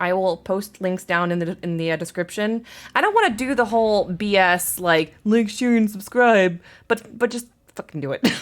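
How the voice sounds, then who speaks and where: This woman has a medium pitch with ordinary pitch variation. She keeps a moderate pace. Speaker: gaming streamer and YouTuber. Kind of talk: game walkthrough narration. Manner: loud; halting, many fillers.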